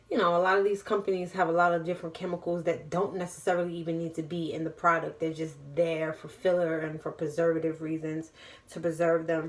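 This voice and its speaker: With a New York accent, a woman talks at a very fast pace in a monotone, flat intonation. Her pitch is fairly low. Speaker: vlogger and small business owner. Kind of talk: cooking tutorial. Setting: home kitchen. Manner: casual, chatty.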